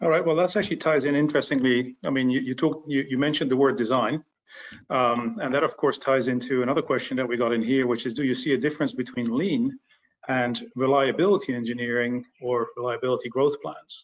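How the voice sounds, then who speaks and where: Speaking very fast, a man delivers the lines. The rise and fall of his pitch is ordinary. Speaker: webinar host and professional association chair; webinar host. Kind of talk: webinar moderation. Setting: online webinar. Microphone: video call.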